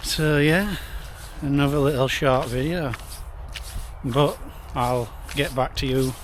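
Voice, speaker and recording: With a Yorkshire accent, a man with a fairly high pitch talks at a fairly slow pace, leaving long, frequent pauses, amid noticeable background noise and audible room echo. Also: fairly even intonation. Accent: Barnsley (Yorkshire). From northern England, Barnsley (South Yorkshire). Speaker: travel vlogger. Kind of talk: casual vlog talk to camera. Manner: rambling, repetitive stammering.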